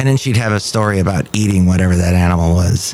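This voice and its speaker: Here a man speaks in a playful tone. Noticeable background noise runs beneath him. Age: 50s. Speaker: podcast host. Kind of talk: casual solo podcast monologue. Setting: cafe. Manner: playful, rambling.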